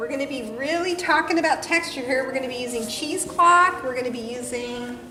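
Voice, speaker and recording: A woman's high, raised, projected voice with lively intonation, fairly quick and hardly pausing, amid noticeable background noise and audible room echo. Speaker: painting instructor. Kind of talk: tutorial. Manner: fast.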